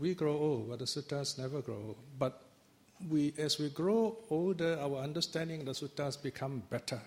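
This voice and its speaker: A man speaks at a moderate pace in a fairly high, somewhat breathy voice with ordinary pitch variation. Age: 60s. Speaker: Buddhist teacher. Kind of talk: dharma talk.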